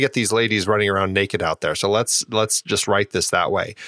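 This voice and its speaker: In an animated tone, a man talks at a very fast pace, recorded with a dry, close sound and no echo. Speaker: podcast host. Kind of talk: casual chat. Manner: joking, animated.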